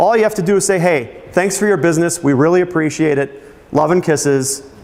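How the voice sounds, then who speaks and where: Against noticeable background noise, a man speaks at a fairly quick pace with a high pitch and ordinary pitch variation. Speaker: marketing presenter. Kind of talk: seminar presentation. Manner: fast.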